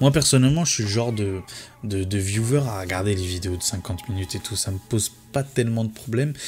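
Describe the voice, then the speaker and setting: Over music in the background, a man with a fairly low pitch talks at a very fast pace with ordinary pitch variation. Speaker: tech youtuber. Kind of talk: casual video commentary. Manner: hesitant with fillers.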